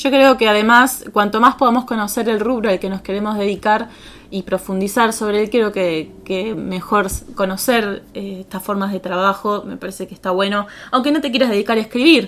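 The voice moves at a moderate pace with ordinary pitch variation, and noticeable background noise comes through. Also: woman, medium pitch for a woman. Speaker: co-host. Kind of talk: podcast intro and chat.

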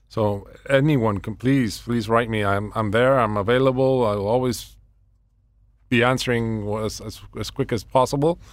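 On a very clean recording with a silent background, a man at medium pitch speaks at a moderate pace with fairly even intonation. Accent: Spanish. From Venezuela. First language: Spanish. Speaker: local council candidate. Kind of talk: radio interview. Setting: radio studio. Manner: halting, repeats words.

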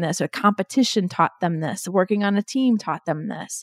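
A woman speaks at a moderate pace and medium pitch in an unremarkable speaking voice. The sound is dry and close with no echo, on a very clean recording with a silent background. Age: 40s. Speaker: business executive and keynote speaker. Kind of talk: interview.

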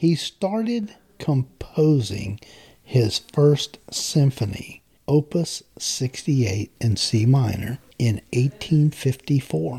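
A man with a Southern US accent has a somewhat breathy, dark, mellow tone at a medium pitch, with very wide pitch swings and very even loudness. He speaks at a very slow pace in a dry, close sound with no echo. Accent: Southern US (Georgia). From US South, Macon, Georgia. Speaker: guest podcast host. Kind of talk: casual interview chat.

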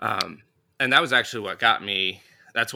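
A man speaks in a US Midwestern accent with a bright, sharp tone. The recording is very clean, with a silent background. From northern Indiana, US Midwest. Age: young. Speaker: Sunday school teacher and podcaster. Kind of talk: casual interview.

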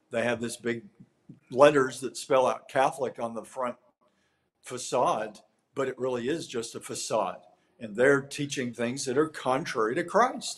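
Speaking in a normal speaking voice with an American accent, a man keeps a medium pitch, ordinary pitch variation and a moderate pace. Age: 60s. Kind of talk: interview.

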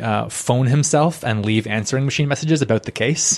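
At a moderate pace and with fairly even intonation, a man with a Canadian accent speaks in a normal speaking voice. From Ottawa, Canada. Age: 30s. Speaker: hobbyist stand-up comedian, engineer. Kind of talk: casual chat. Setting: home spare bedroom with handheld mics.

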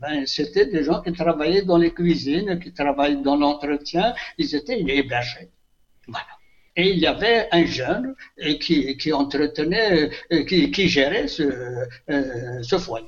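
Lively intonation carries through a very slow delivery. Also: man, fairly high pitch for a man. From Algeria, Kabylie (Béjaïa region). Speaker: retired teacher and author. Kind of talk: interview. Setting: phone call. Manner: halting.

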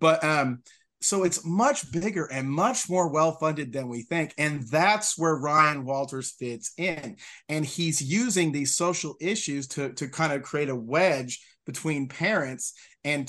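In an American accent, a man uses a normal speaking voice at a fairly high pitch, with ordinary pitch variation and a fairly slow pace. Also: quiet background. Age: 40s. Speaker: state legislator, former teacher. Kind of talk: casual interview.

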